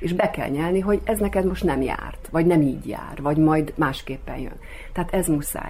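Amid audible room echo and noticeable background noise, a woman speaks at a moderate pace. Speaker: actress and local politician. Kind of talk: radio interview.

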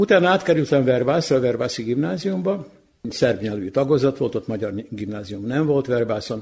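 At a moderate pace, a man with a medium pitch speaks with lively intonation and a somewhat breathy sound. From Vojvodina, Serbia (Kula). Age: old. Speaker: retired television executive. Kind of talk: radio interview. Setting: community hall.

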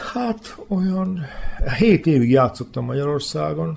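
Background noise is clearly noticeable. The voice is a man's. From Vojvodina, Serbia (Hungarian minority, Bezdan area). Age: 60s. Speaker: former handball player. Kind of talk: interview. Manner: halting, with repetitions.

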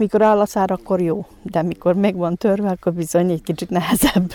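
Over a dry, close sound with no echo, a woman talks at a fairly quick pace and medium pitch, her dark, mellow tone showing ordinary pitch variation. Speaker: contestant. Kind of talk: interview. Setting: outdoors at festival.

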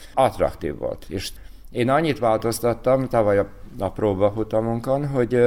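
Here is a man speaking. He has an unremarkable speaking voice. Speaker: cycling race organizer. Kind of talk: radio interview.

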